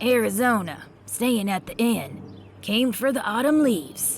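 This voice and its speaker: Using a put-on character voice, a woman sounds raspy and fairly high-pitched, her intonation lively and her pace moderate over clear background noise. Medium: read story. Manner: brusque, suspicious.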